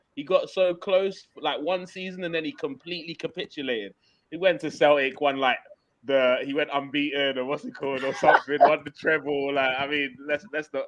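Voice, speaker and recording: A man with a London accent is talking. His pace is fairly quick. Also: fairly high pitch for a man, ordinary pitch variation. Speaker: football podcast host. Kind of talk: casual football banter.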